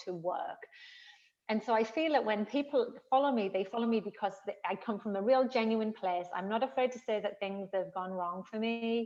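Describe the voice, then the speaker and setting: With a northern English accent, a woman talks at a moderate pace in a medium pitch with ordinary pitch variation. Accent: northern English accent, noticeable. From northern England. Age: 50s. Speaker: fitness trainer. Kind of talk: interview conversation.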